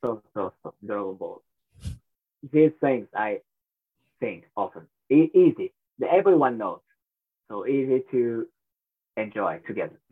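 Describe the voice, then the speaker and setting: A man with a Japanese accent at a fairly slow pace, with big swings in loudness and long, frequent pauses. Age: 30s. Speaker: professional wrestler. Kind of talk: interview. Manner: halting.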